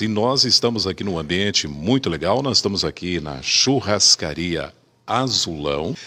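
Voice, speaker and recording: Here a man speaks at a moderate pace in a bright, sharp tone. His intonation is lively. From Paraná, Brazil. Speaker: interviewer. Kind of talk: interview questions.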